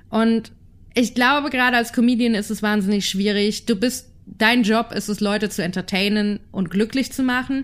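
Speaking at a moderate pace is a woman. Her pitch is fairly high. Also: very clean recording, silent background. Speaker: podcast co-host. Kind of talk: casual chat. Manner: animated.

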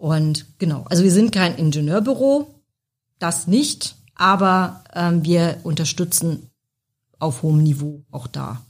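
A woman speaks at a very slow pace, her fairly low, somewhat breathy voice carrying lively intonation. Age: 40s. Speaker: technical support manager. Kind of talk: casual interview.

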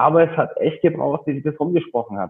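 Speaking at a fairly quick pace, a man has an ordinary speaking voice with a fairly high pitch and ordinary pitch variation. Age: 30s. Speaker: personal trainer and gym owner. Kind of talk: interview.

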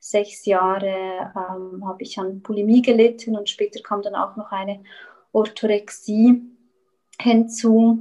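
Speaking very slowly with a Swiss German accent, a woman uses a fairly high pitch, a dark, mellow tone and monotone, flat intonation. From Switzerland. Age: 30s. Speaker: eating disorder recovery coach. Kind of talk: interview. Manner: halting.

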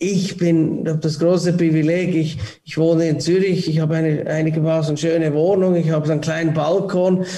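Amid noticeable background noise and audible room echo, a man with a fairly high pitch talks at a fairly quick pace in a monotone, flat way at very even loudness. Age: 40s. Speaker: airport ground-handling CEO. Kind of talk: casual interview. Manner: halting, many repetitions.

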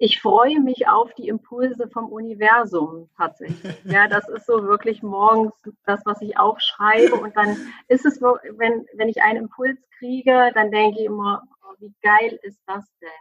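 A woman talks at a fairly slow pace with a fairly high pitch and ordinary pitch variation. Her loudness swings widely. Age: 40s. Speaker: family coach. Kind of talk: interview. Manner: animated.

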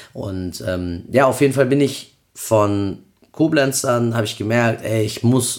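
Here is a man with an unremarkable speaking voice at a medium pitch. His pitch variation is ordinary. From Cologne, Germany. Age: 30s. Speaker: event promoter. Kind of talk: casual chat.

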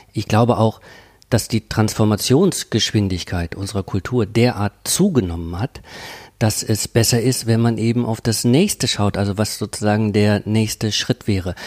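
Over a silent background in a very clean recording, a man speaks at a moderate pace with a fairly low pitch and ordinary pitch variation. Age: 50s. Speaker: professor of cultural studies. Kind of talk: interview. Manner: hesitant, many fillers.

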